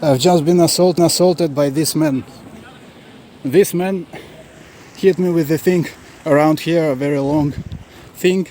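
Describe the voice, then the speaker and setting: With a non-native accent, a man speaks at a fairly slow pace and fairly high pitch, with fairly even intonation and long, frequent pauses, against noticeable background noise. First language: not English. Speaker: travel vlogger. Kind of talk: raw video diary right after an assault. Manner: halting, many fillers and repetitions.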